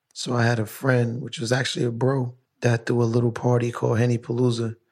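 The man's voice is somewhat breathy and medium in pitch. He talks at a fairly quick pace. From Brooklyn, New York. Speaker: podcast host. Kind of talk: casual interview chat. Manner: animated.

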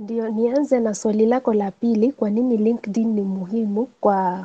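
A woman's fairly high-pitched voice with a dark, mellow tone and a non-native accent, in a dry, close sound with no echo. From Kenya, Nairobi. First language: not Swahili (speaking Swahili). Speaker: author and career coach. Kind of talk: webinar talk.

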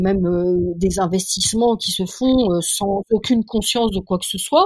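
Against noticeable background noise, a woman with a medium pitch speaks at a fairly slow pace with fairly even intonation. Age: 60s. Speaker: biologist and science journalist. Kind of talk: interview. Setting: remote call. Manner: halting, many repetitions. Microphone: poor sound quality.

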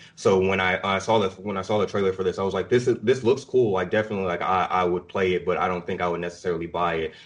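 In a very deep, low voice, a man talks very fast with hardly any pauses and fairly even intonation. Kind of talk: casual chat.

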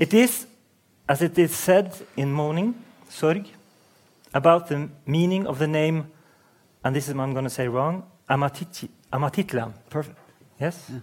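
With a Norwegian accent, a man talks at a moderate pace and fairly high pitch, with ordinary pitch variation. He leaves long, frequent pauses. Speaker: interviewer and novelist. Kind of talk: onstage interview. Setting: stage with audience.

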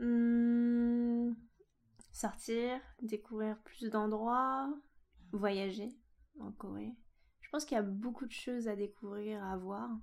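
With long, frequent pauses, a woman speaks at a very slow pace and a fairly high pitch, with fairly even intonation and big swings in loudness. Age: 20s. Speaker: podcast guest, expatriate. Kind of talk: casual interview. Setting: in person at host's home.

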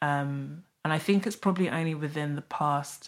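A woman speaks at a moderate pace with a South London accent. The recording is very clean, with a silent background. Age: 30s. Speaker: author and money writer. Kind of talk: casual chat.

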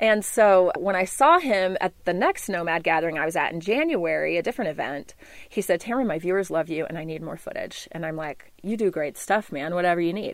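A woman with an American accent speaks at a fairly quick pace in a plain, everyday voice, her fairly low pitch moving with ordinary variation. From US South, Memphis, Tennessee. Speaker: wilderness survival guide. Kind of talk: interview; tutorial. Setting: inside a converted bus.

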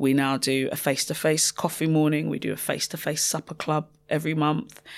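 A woman with a very deep, low pitch speaks at a moderate pace with fairly even intonation. The recording is very clean, with a silent background. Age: 30s. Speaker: social entrepreneur and cancer survivor. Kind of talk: interview testimony.

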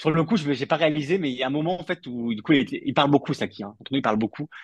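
At a very fast pace, a man speaks with a fairly high pitch and ordinary pitch variation, recorded dry and close with no echo. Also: quiet background. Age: 30s. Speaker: football journalist. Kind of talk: casual chat.

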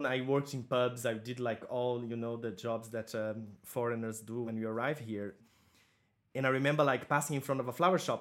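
Speaking with a Portuguese accent, a man keeps a medium pitch and fairly even intonation at a fairly quick pace. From southern Brazil. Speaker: florist and floristry teacher. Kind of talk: interview. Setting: video call.

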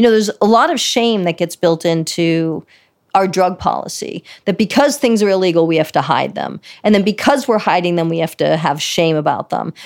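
A woman with an ordinary speaking voice talks at a fairly quick pace and medium pitch, her intonation lively. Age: 50s. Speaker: psychiatrist. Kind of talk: interview.

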